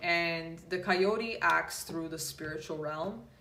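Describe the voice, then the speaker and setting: A woman speaks at a very slow pace with a very deep, low pitch. Audible room echo surrounds her voice. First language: Polish. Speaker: tarot reader and yoga instructor. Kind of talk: casual talk to viewers. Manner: hesitant with many fillers.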